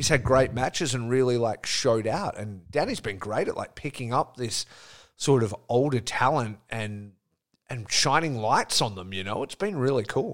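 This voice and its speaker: Ordinary pitch variation and a moderate pace in an ordinary speaking voice, the recording very clean and the background silent. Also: man. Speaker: podcast host. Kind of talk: casual interview chat.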